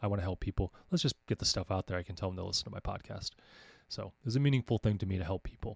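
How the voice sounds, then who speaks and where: A man with an American accent, very fast pace, fairly low pitch, ordinary pitch variation and a somewhat breathy voice, on a very clean recording with a silent background and a dry, close sound with no echo. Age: 40s. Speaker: podcast host and homeschooling coach. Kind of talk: casual monologue. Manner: halting with frequent fillers.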